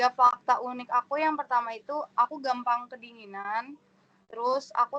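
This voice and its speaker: A woman speaks at a moderate pace in a high voice with a bright, sharp tone and flat, monotone intonation. The sound is dry and close, with no echo. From Indonesia, East Jakarta. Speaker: new university student. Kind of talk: casual introduction chat.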